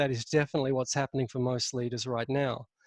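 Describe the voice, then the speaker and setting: This man speaks with an Australian accent at a fairly high pitch. The sound is dry and close, with no echo. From Australia, Sydney. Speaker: leadership consultant. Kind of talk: webinar presentation. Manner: speaks from chest voice.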